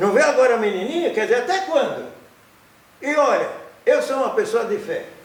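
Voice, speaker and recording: With an extremely high pitch and very wide pitch swings, a man speaks amid noticeable background noise and audible room echo. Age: 80s+. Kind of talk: interview. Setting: studio. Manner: halting with repeated syllables.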